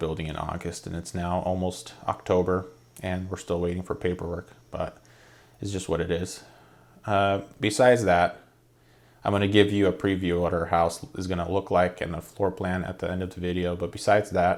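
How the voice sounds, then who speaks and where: A man talks at a moderate pace. His very deep, low voice stays monotone and flat. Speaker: home builder vlogger. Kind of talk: casual talk to camera. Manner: halting, hesitant, with fillers.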